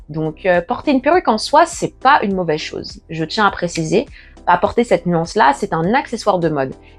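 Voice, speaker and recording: Very wide pitch swings from a woman at a fairly quick pace, music in the background. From Paris, France. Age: 20s. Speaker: natural hair YouTuber. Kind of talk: casual talk to camera.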